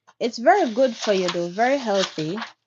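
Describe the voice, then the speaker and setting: Speaking with a Jamaican accent, a woman uses a medium-pitched voice. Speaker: craft business owner. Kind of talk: casual chat during a craft livestream. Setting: YouTube live stream.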